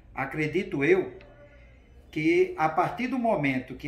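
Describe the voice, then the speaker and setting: This man's voice carries audible room echo. He talks fairly slowly. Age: 60s. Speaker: school director and teacher. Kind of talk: interview.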